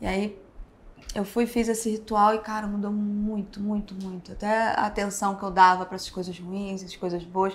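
A woman speaks with monotone, flat intonation at a moderate pace, though her loudness swings a lot. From Rio de Janeiro, Brazil. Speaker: tattoo artist; podcast guest. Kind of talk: casual interview. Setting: tattoo convention backstage. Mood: relaxed, reflective. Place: studio.

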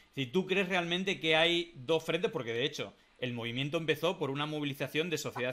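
The pace is fairly quick. Intonation stays lively. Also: man. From Spain. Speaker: political talk show host. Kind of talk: casual political discussion. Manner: halting, many fillers. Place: home room.

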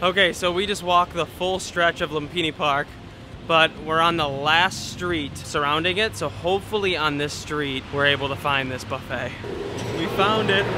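A man speaks at a moderate pace with ordinary pitch variation. The sound is dry with no echo, but noticeable background noise is present. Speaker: travel vlogger. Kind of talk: casual vlog chat. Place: street. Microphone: phone near.

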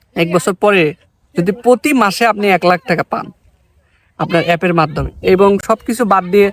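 A man speaks with a high pitch and ordinary pitch variation, his voice dry and close with no echo. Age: 20s. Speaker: software company founder. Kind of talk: promotional talk to camera.

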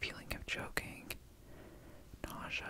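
A man whispers softly at a moderate pace. The sound is dry with no echo, though loud background noise is present. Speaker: vlogger. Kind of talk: casual vlog chat. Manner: soft whisper close to the mic. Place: home room. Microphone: studio mic.

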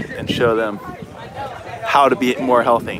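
A man talks at a fairly slow pace over noticeable background noise. The sound is dry, with no echo. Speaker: livestream host. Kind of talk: casual vlog chat. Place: street. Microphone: phone near.

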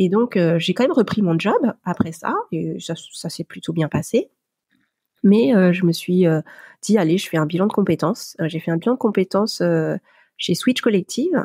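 A woman with a dark, mellow tone and some vocal fry speaks at a medium pitch with ordinary pitch variation, the sound dry and close with no echo. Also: moderate pace. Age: 40s. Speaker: lettering artist and entrepreneur. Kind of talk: interview testimony. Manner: hesitant, many filler pauses.

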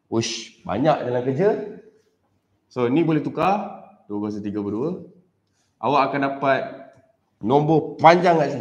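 The speaker uses lively intonation at a fairly slow pace, with long, frequent pauses and audible room echo. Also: man, fairly high pitch for a man. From Malaysia. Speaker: teacher. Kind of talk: live-streamed maths tutorial. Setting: live stream recorded on camera. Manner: casual, mixing English and Malay. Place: classroom.

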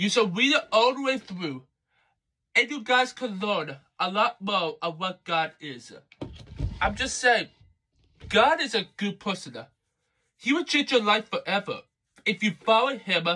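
A high-pitched man's raised, projected voice with a bright, sharp tone and lively intonation, fairly slow with long, frequent pauses. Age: young. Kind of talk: casual video review. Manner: halting, many fillers. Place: home room. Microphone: phone near.

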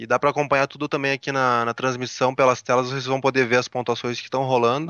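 The background is quiet and the sound is dry with no echo. A man with a Brazilian accent talks at a very fast pace. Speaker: Brazilian tech journalist co-host. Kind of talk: live commentary. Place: hall. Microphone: headset.

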